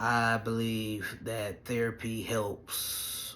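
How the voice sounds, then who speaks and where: A man's fairly low voice is heard with audible room echo. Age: 30s. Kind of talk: casual vlog update. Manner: halting.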